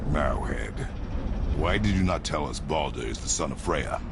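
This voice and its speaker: A man does a cartoonish character voice at a moderate pace. Loud background noise runs behind him. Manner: terse, clipped, no contractions.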